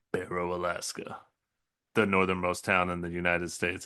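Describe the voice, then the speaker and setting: In a put-on character voice, the speaker goes at a fairly quick pace with monotone, flat intonation. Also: man, very deep, low pitch for a man. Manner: dramatic, trailer-like.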